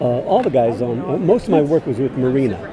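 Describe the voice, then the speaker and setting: With crowd noise behind him, a man speaks at a fairly quick pace, and the sound is dry with no echo. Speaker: voice actor guest. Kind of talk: interview answer. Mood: warm, reminiscing. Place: hall.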